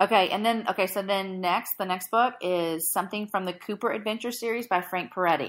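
A woman's medium-pitched voice with hardly any pauses, on a very clean recording against a silent background. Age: 30s. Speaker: podcast host. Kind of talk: casual chat. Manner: animated.

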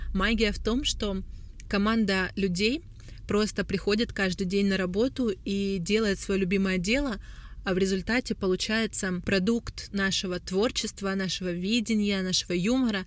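A woman with a medium pitch speaks at a moderate pace in an unremarkable speaking voice. Her intonation is fairly even and her loudness very even. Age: 20s. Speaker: brand founder and creative director. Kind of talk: solo podcast monologue.

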